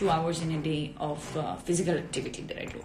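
A woman speaks over noticeable background noise. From southern Italy. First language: Italian. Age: 20s. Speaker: actress and model; actress. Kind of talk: casual chat. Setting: Instagram live video. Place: home room. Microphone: phone near.

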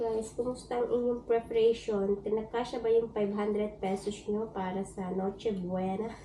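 Noticeable background noise sits behind a woman with a fairly high pitch. She speaks at a fairly slow pace in a monotone, flat intonation. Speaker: vlogger, domestic worker abroad. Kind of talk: casual vlog. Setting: home terrace.

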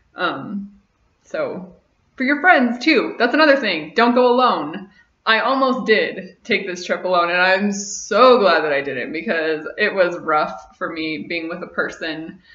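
Audible room echo surrounds a woman speaking at a fairly slow pace. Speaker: vlogger. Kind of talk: casual vlog chat. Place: home room. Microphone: webcam.

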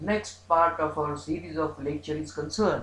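With audible room echo, a man speaks at a moderate pace and ordinary pitch variation. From India. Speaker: law professor. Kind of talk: lecture. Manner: formal. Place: home room. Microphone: webcam.

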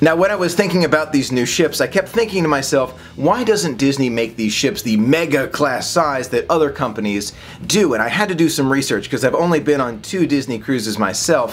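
Speech moves at a moderate pace with few pauses and lively intonation. Faint background noise sits behind it. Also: man, medium pitch for a man.

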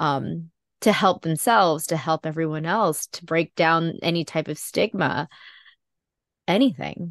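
Over a quiet background, a woman with a plain, everyday voice speaks at a fairly low pitch and a fairly slow pace. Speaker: podcast host. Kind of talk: interview.

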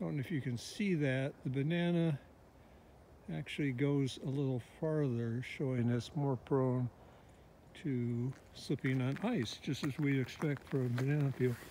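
A man with a dark, mellow tone talks at a moderate pace with ordinary pitch variation and very even loudness, the sound dry with no echo and light background noise behind him. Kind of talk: casual vlog chat. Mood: playful, wry humor. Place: open country. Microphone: phone near.

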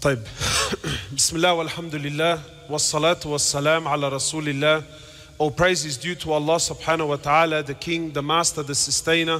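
A man's fairly high voice at a fairly quick pace. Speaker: Islamic scholar giving a lecture. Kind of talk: religious lecture to a live audience. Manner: animated, emphatic preaching. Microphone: lapel.

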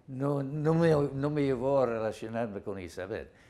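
A man with an English accent speaks in a fairly high voice with ordinary pitch variation. His tone is dark and mellow. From US Northeast, Rhode Island. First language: English (speaking Spanish). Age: 80s+. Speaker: anthropologist and author; interviewee. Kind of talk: interview. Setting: office. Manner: halting, many repetitions. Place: office. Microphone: lapel.

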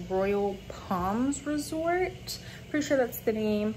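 A woman talks at a fairly slow pace. Noticeable background noise can be heard behind her. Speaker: travel vlogger. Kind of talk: casual vlog chat. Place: home room. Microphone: phone near.

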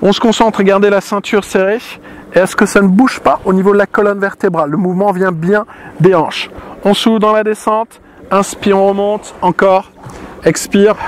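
Over light background noise, a man talks at a high pitch with fairly even intonation in a dry sound with no echo. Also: fairly quick pace. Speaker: fitness instructor. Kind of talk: exercise class instruction. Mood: calm, guiding breathing. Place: beach.

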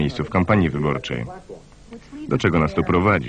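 A man at a very fast pace, dry with no echo, over noticeable background noise. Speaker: film voice-over reader. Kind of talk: film voice-over translation read. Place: booth. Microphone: studio mic.

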